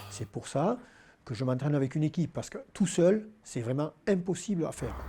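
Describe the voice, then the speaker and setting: Here a man speaks at a fairly quick pace. His voice is somewhat breathy, with a dark, mellow tone. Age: 60s. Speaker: powerlifting champion. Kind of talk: interview. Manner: hesitant, many fillers.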